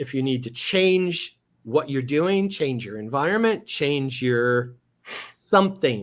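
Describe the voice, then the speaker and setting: Speaking very slowly, a man with a fairly high voice swings his pitch very widely. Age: 60s. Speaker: former rock drummer. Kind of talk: casual chat.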